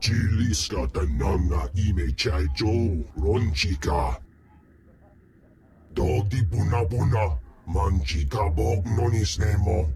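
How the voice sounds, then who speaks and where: A man's put-on character voice, growling, very deep and low in pitch, at a fairly slow pace. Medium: video game. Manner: grandiose, slow.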